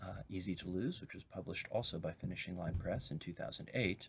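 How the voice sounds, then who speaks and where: Here a man speaks in a very deep, low voice. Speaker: poet. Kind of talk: casual talk to camera.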